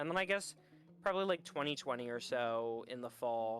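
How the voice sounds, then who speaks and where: Music plays in the background as the voice keeps a moderate pace. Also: man. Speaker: VTuber and game developer. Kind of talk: casual interview chat. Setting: livestream.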